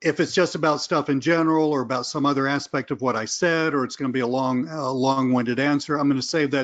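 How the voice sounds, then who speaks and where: Over a quiet background, a man with a Southern US accent speaks at a fairly quick pace in a fairly high pitch. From US South. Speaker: online marketing trainer. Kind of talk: webinar presentation. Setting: live webinar. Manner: animated.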